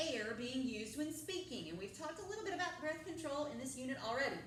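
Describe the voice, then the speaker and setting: A woman talks loudly at a high pitch, her voice making very wide pitch swings. Audible room echo surrounds her. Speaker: drama teacher. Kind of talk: classroom lecture. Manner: loud, projecting.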